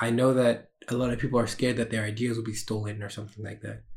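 A man's somewhat breathy, medium-pitched voice, monotone and flat in intonation. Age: 20s. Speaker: solo podcaster and small streamer. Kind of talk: casual solo vlog monologue. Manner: casual with frequent fillers.

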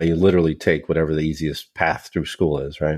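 With an American accent, a man's words come out at a moderate pace. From Northern California, Sacramento suburb. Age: 40s. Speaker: software company account manager, former machinist. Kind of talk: casual interview chat. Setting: video call.

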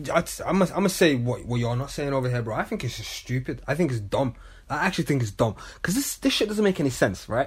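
With very wide pitch swings, a somewhat breathy man talks at a very fast pace. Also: fairly high pitch for a man. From Manchester, England. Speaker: podcast co-host. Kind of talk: casual chat.

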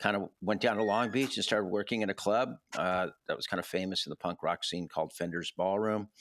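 In an ordinary speaking voice, fairly low in pitch with ordinary pitch variation, a man talks at a fairly quick pace, the sound dry and close with no echo on a very clean recording with a silent background. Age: 60s. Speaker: music festival founder and university professor. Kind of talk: casual interview.

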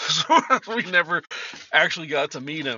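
His pitch shifts in an ordinary way. The man keeps to a moderate pace. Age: 50s. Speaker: podcast host. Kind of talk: casual monologue.

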